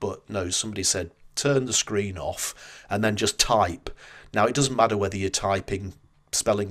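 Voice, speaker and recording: A man speaks with a Northern English accent in a fairly low pitch. His moderate pace and fairly even intonation come through in a very clean recording with a silent background. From northern England. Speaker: marketing strategist and book author. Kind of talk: interview conversation. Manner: hesitant with repeated words.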